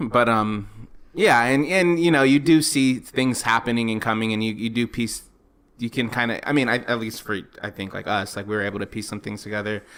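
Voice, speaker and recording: A man moves at a fairly quick pace, his medium pitch varying in an ordinary way. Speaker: film review podcast co-host. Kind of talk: casual film review chat. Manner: halting, stumbling over words.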